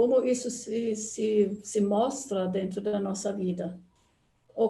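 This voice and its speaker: This voice has a dark, mellow tone, is somewhat breathy, and shows ordinary pitch variation. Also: woman. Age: 80s+. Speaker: anthroposophy speaker. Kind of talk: online talk.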